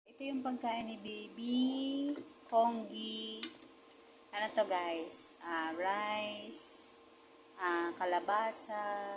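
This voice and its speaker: A woman speaks very slowly at a medium pitch, with long, frequent pauses and ordinary pitch variation. Audible room echo and noticeable background noise surround her voice. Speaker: domestic helper vlogger. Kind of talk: casual vlog tutorial.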